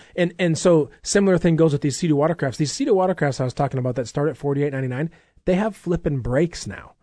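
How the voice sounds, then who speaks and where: Talking at a very fast pace, a man with an American accent has a fairly high pitch. His tone is dark and mellow. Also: ordinary pitch variation, quiet background. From Minnesota. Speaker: radio show host for an outdoor supply store. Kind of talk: casual promotional radio chat.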